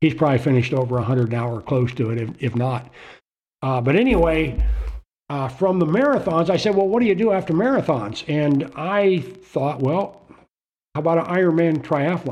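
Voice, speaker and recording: Here is a man with an unremarkable speaking voice and an American accent. His pitch is fairly high, his intonation lively, and his pace moderate. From Florida. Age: 60s. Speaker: retired marine. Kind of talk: casual chat.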